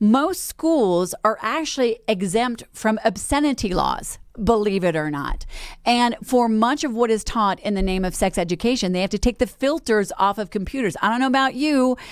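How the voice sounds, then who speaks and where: In a very clean recording with a silent background, a woman with an unremarkable speaking voice and a fairly high pitch talks at a moderate pace in an American accent. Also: lively intonation. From Colorado, US. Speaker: radio talk show host. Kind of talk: talk radio monologue.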